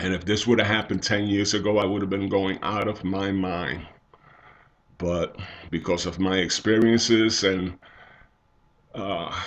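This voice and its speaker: A man's fairly low voice at a moderate pace, fairly even in intonation, broken by long, frequent pauses. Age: 60s. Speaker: church elder giving devotional. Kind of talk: devotional talk.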